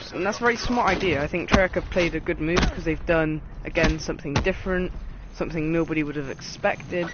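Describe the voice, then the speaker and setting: Someone speaks very fast in a British accent. Background noise is noticeable. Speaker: gaming YouTuber. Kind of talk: game review commentary.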